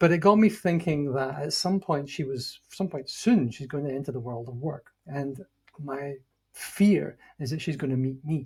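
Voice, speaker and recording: Loudness swings widely as a man talks in a somewhat breathy voice. He keeps a moderate pace, a fairly high pitch and ordinary pitch variation. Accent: Scottish. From Scotland. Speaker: leadership consultant, former CEO. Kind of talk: interview.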